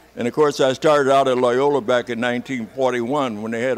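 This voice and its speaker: A man with an American accent speaks at a fairly quick pace and a medium pitch. His intonation is monotone and flat, and background noise is noticeable. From Chicago. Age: 80s+. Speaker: war veteran. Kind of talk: interview.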